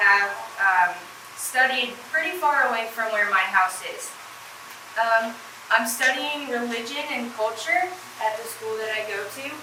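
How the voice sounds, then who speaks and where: A woman's fairly high voice at a fairly slow pace, with ordinary pitch variation, big swings in loudness, long, frequent pauses, audible room echo, and noticeable background noise. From New England, New Hampshire. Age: 20s. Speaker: university student. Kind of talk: presentation.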